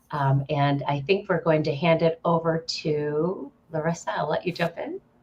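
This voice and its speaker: With noticeable background noise behind her, a woman of fairly low pitch talks at a moderate pace with fairly even intonation. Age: 40s. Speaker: nonprofit partnerships director. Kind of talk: panel introduction.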